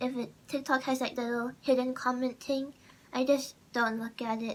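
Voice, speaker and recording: A woman speaks with a high pitch. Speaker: content creator. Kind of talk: casual vlog monologue. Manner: halting.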